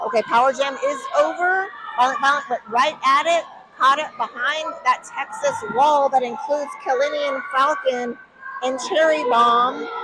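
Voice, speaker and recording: A woman's raised, projected voice, high-pitched and animated with excitement, lively in intonation at a fairly slow pace, over noticeable background noise. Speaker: roller derby commentator. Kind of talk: live sports commentary. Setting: live event with crowd. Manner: animated, excited; loud at moments.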